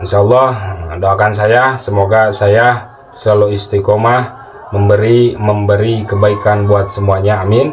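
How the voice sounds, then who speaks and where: A man with a Sundanese accent and a fairly low voice speaks fairly slowly in a monotone, flat intonation at very even loudness, with audible room echo and noticeable background noise. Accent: Sundanese-accented Indonesian. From West Java, Sundanese. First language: Sundanese (speaking Indonesian). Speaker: Islamic spiritual teacher, channel owner. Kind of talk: casual religious talk to viewers. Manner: halting, many fillers.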